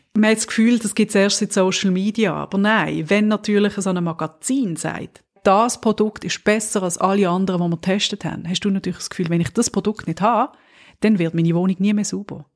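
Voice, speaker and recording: A woman speaks with a Swiss accent at a medium pitch. Her pace is fairly quick and her intonation fairly even. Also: dry, close sound with no echo. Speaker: podcast co-host. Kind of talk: casual chat.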